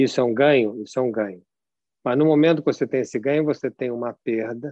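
A man with a medium-pitched voice and ordinary pitch variation speaks with long, frequent pauses. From São Paulo, Brazil. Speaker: lecturer. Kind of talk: lecture. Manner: animated.

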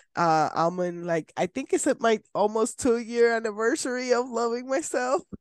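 With a Spanish accent and a fairly high voice, a woman talks at a moderate pace in an animated tone with lively intonation. The background is quiet. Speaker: podcast host. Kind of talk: casual interview.

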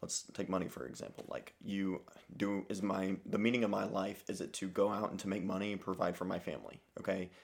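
A man talks at a fairly quick pace in a fairly low pitch with vocal fry. His intonation stays fairly even. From Alabama. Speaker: refugee aid worker. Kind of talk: casual chat. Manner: halting.

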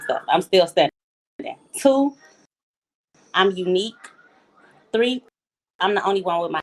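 With a dry, close sound and no echo, a woman talks at a moderate pace and medium pitch, using lively intonation and long, frequent pauses. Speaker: guest. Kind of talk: casual conversation, answering host's question.

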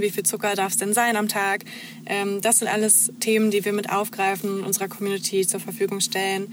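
At a fairly quick pace, a woman speaks at a medium pitch in a monotone, flat intonation. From eastern Germany, near Magdeburg (Saxony-Anhalt). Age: 20s. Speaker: social media manager. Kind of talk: interview.

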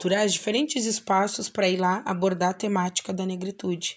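Heard in a very clean recording with a silent background, a woman speaks at a medium pitch and moderate pace. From southern Brazil, Bagé (Rio Grande do Sul). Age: 30s. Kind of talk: personal testimony. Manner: halting, many fillers.

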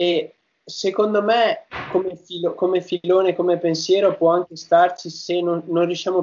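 A man speaks fairly slowly in a high pitch. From northern Italy, Padua. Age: 20s. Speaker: YouTuber. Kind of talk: interview.

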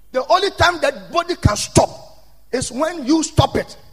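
A man talks in an extremely high-pitched, animated voice at a fairly slow pace. Noticeable background noise can be heard. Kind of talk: sermon. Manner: rousing, repetitive, rising intensity with call-and-response.

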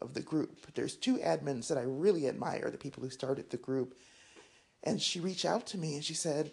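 With vocal fry and a very deep, low pitch, a woman talks at a fairly quick pace with ordinary pitch variation. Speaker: keto vlogger. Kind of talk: casual vlog monologue. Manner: slightly out of breath, walking while talking; hesitant, filler words.

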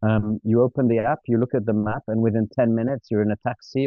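Over background music, a man with a fairly low pitch speaks at a very fast pace. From Switzerland. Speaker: traveler and entrepreneur. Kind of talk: casual interview.

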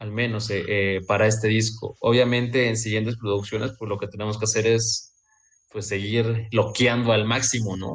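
A man speaks at a moderate pace and medium pitch, his intonation monotone and flat. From Mexico, Veracruz. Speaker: saxophonist in a band. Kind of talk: interview.

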